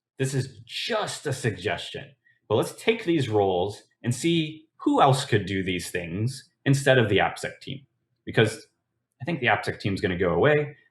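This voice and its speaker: A somewhat breathy man speaks with very wide pitch swings in a very clean recording with a silent background. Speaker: conference speaker on application security. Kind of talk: conference talk. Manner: fast.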